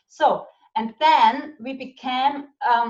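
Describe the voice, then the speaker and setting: A woman with a German accent speaks at a high pitch. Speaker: network marketing business leader. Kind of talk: casual interview chat. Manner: halting.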